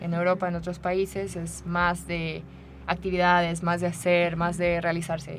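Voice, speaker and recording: Here is a woman with a normal speaking voice, pitched fairly low. She talks at a moderate pace. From Mexico, Querétaro. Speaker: rock climbing coach. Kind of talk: radio interview.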